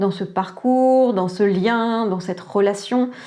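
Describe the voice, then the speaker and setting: A woman with ordinary pitch variation. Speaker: tarot and oracle card reader. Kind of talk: psychic reading guidance. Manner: calm, soft; hesitant, many fillers.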